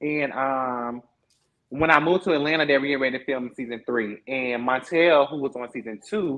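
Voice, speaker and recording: A man with a fairly high pitch and ordinary pitch variation talks at a fairly quick pace. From Florida (Lake City). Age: 20s. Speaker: reality TV cast member. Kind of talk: interview. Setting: livestream. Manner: animated.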